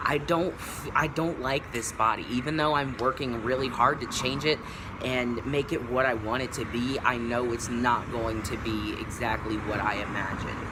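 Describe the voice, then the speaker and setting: Noticeable background noise and audible room echo surround a man's medium-pitched voice. He talks at a moderate pace with fairly even intonation. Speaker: YouTuber, vlogger. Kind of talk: casual vlog monologue. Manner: halting, many fillers.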